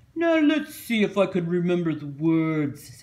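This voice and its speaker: At a middle pitch, the speaker performs a put-on character voice. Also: moderate pace. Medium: read story.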